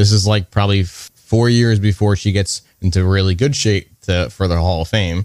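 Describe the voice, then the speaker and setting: On a very clean recording with a silent background and a dry, close sound with no echo, a man with a normal speaking voice and fairly low pitch talks at a moderate pace. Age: 30s. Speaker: wrestling figure collector. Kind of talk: casual chat.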